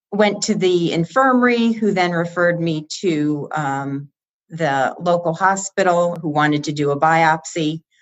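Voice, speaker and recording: A plain, everyday voice from a woman with an American accent, fairly low in pitch, at a fairly slow pace with ordinary pitch variation. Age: 60s. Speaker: cancer survivor. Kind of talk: interview.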